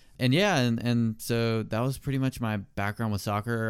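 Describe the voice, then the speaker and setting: In a plain, everyday voice, a man speaks with an American accent. His pace is fairly quick and his intonation fairly even. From South Carolina, US South. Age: 20s. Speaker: podcast co-host, college student. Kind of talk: casual chat.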